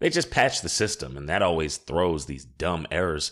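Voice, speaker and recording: Recorded very cleanly against a silent background, a man speaks with a very deep, low pitch and vocal fry. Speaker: audiobook narrator. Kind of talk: audiobook narration.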